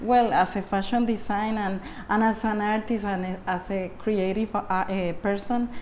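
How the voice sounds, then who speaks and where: A woman's medium-pitched, flat monotone at a fairly slow pace, with audible room echo. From Puerto Rico. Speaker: artist and fashion designer. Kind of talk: interview. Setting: artist's studio. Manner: halting, many repetitions.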